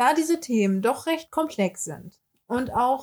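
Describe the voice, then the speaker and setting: A woman's high-pitched voice at a fairly slow pace. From Hamburg, northern Germany. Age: 20s. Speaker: beautician and podcast host. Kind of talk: casual podcast introduction.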